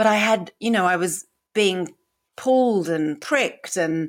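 A woman with a British accent speaks at a fairly slow pace, her pitch fairly low with ordinary variation, on a very clean recording with a silent background. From UK. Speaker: podcast host living with MS. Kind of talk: personal storytelling monologue. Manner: humorous, uses comedy, occasionally swears; halting at times, word mix-ups.

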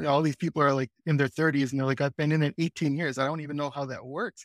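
A man with an American accent speaks at a fairly high pitch. The recording is very clean, with a silent background. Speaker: marketing operations specialist. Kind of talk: casual chat.

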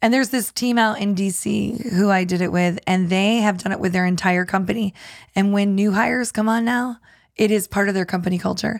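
A woman talks in a normal speaking voice at medium pitch and a fairly quick pace, with fairly even intonation. The recording is very clean, with a silent background. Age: 50s. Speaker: communication skills trainer. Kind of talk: casual chat.

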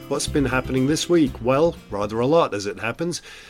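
A man in a British accent, with ordinary pitch variation. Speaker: podcast host and editor. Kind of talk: interview podcast, casual presenting. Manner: chatty, humorous.

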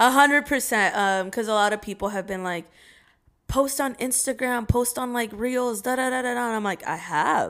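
This woman has a high pitch with ordinary variation. Her pace is moderate. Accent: American. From Oregon, US. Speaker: TikTok creator. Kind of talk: casual chat.

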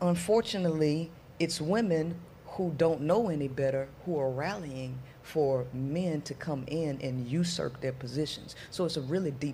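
Somewhat breathy woman with a very deep, low pitch and a dark, mellow tone, ordinary pitch variation and a moderate pace. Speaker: women's empowerment coach. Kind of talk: casual panel chat.

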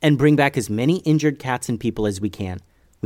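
The clip has a natural voice reading aloud.

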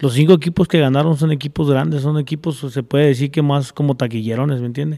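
A very clean recording with a silent background captures a dark, mellow tone of voice. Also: man. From Zacatecas, Mexico (near Fresnillo); moved young to California. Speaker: charro and horseman. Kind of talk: casual chat. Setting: at a home.

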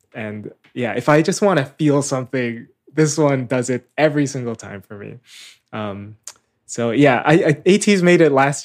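It is a plain, everyday voice. The speech moves at a moderate pace. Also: man. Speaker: podcast co-leader. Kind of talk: casual chat.

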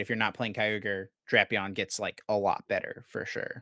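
This very clean recording has a silent background and a dry, close sound with no echo. The man's pitch is fairly low. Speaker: Pokemon card game podcast host. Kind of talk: casual chat. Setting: studio.

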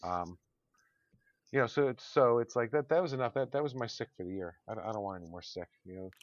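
A medium-pitched man, very fast, with lively intonation and big swings in loudness. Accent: American. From Connecticut, US. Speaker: podcast co-host. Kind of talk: casual chat. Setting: online recording session.

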